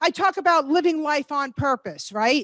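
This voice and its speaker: An animated voice with an American accent and ordinary pitch variation, dry and close with no echo. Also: woman. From New York. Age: 60s. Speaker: motivational speaker. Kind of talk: motivational talk. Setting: stage with live and online audience.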